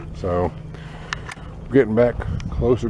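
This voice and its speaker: A man speaks quietly at a moderate pace amid noticeable background noise. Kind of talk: nature walk video for students. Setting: outdoors on nature trail. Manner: quiet, keeping voice down.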